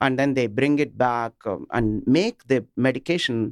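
A man with an Indian accent at medium pitch, fairly slow pace, dry, close sound with no echo. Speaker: business executive guest. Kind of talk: radio interview. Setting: studio.

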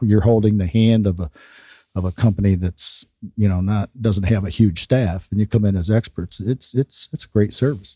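At a moderate pace, a man speaks with a fairly low pitch, a dark, mellow tone, ordinary pitch variation and a somewhat breathy quality, in a dry, close sound with no echo. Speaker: radio show host. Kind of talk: radio interview. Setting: studio.

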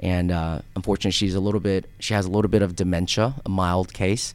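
A man talks at a fairly quick pace in a plain, everyday voice. The recording is very clean, with a silent background. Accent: American. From US (raised partly in Korea). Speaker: financial advisor. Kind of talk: radio interview. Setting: studio.

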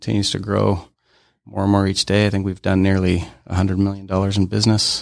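In a very clean recording with a silent background, a man with an American accent talks very fast in a fairly low, monotone, flat voice. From Utah. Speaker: aerospace company co-founder. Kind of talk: interview.

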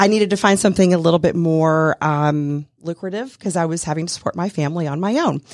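In a very clean recording with a silent background, a woman speaks in an ordinary speaking voice, fairly low-pitched with ordinary pitch variation, with an American accent. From US South. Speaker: insurance consultant. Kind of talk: casual interview. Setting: radio studio.

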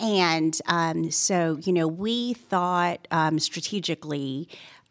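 A woman's fairly low, unremarkable speaking voice with ordinary pitch variation, in a very clean recording with a silent background and a dry, close sound with no echo. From Canada, Toronto. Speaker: estate planning attorney. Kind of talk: interview. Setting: studio.

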